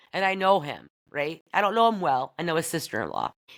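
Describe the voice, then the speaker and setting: With an American accent and an animated tone, a woman speaks at a fairly quick pace on a very clean recording with a silent background. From US Midwest (Bedford, Iowa area). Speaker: podcast host. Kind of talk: casual monologue. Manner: loud.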